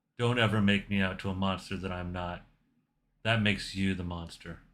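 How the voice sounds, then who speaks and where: A man uses a quiet, growling put-on character voice, pitched fairly low with fairly even intonation, in a very clean recording with a silent background. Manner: quiet and intense.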